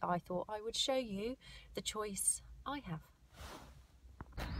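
A somewhat breathy voice with ordinary pitch variation, dry with no echo, over light background noise. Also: woman. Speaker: vlogger. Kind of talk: casual vlog chat. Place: car. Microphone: phone near.

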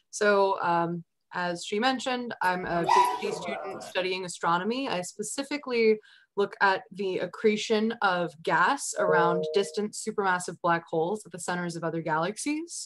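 Over noticeable background noise, a woman keeps to a moderate tempo. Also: ordinary pitch variation. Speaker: presenter. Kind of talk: lecture. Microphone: video call.

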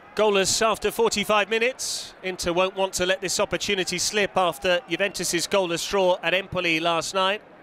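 In a raised, projected voice, a man with a high pitch and a bright, sharp tone speaks with fairly even intonation, very even loudness and hardly any pauses. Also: moderate pace. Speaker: football commentator. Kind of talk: live sports commentary. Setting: stadium commentary.

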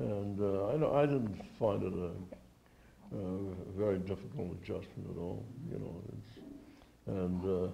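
With vocal fry and a dark, mellow tone, the voice moves at a very slow pace with lively intonation over light background noise. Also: man, very deep, low pitch for a man. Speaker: World War II veteran. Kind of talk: oral history interview, an elderly veteran recalling wartime memories. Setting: interview at a veterans' reunion. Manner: halting, with frequent repeated words and false starts; reminiscent and precise about dates, with occasional chuckles. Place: hall. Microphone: handheld.

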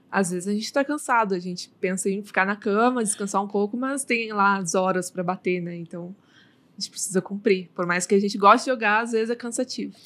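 At medium pitch and a fairly quick pace, a woman talks with ordinary pitch variation in an unremarkable speaking voice. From Brazil. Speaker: streamer and influencer; streamer, influencer. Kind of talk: casual interview chat. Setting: studio. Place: studio. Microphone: studio mic.

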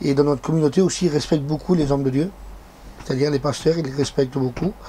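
A man rattles along at a very fast pace while faint background noise sits underneath. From Angoulême, France. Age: 30s. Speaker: Gitan pastor and preacher. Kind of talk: interview answer. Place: home room.

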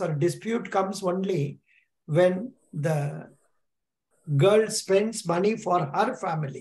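In a room with audible echo, a man speaks slowly at a high pitch, his tone slightly mellow and his pitch variation ordinary.

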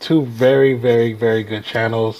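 A man's voice with fairly even intonation. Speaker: reaction video host. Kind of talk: casual vlog chat. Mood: amused, cheerful. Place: home room. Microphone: earbuds.

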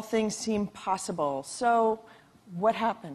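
A woman with an ordinary speaking voice, fairly high in pitch, at a fairly slow pace with ordinary pitch variation. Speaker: magazine staff writer interviewer. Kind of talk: interview on stage. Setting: stage with audience. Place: stage. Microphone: lapel.

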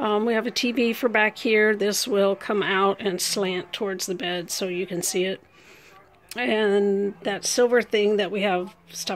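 Her intonation fairly even, a woman speaks at a fairly slow pace. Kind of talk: casual home tour narration. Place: home room. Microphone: phone near.

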